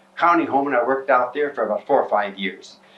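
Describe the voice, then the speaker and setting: A man with an American accent and a fairly high pitch talks over noticeable background noise. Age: 80s+. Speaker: retired nurse's aide, funeral home worker. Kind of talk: oral history interview. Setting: at home.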